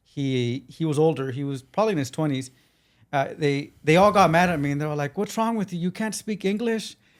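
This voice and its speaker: Over a silent background on a very clean recording, a man with a Spanish accent speaks at a fairly quick pace, his fairly high pitch carrying lively intonation. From Los Angeles, South Central. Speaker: civil rights attorney. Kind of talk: interview conversation. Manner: halting, repeats words.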